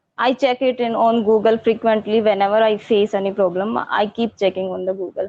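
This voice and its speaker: This woman talks at a fairly quick pace with hardly any pauses, in an Indian accent. Her voice is fairly high in pitch, and her intonation stays fairly even. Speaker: English learner. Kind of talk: casual chat.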